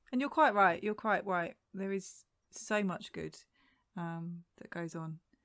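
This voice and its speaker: A woman with a British accent speaks at a very slow pace and medium pitch, with ordinary pitch variation. Her loudness swings widely, and the recording is very clean with a silent background. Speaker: podcast co-host.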